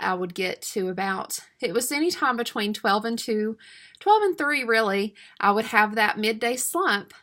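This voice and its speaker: In a Southern US accent, a woman with a fairly high pitch speaks at a fairly slow pace on a very clean recording with a silent background. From US South, East Tennessee. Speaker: homeschool mom and supplement seller. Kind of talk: casual sales talk to camera. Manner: chatty, many filler words.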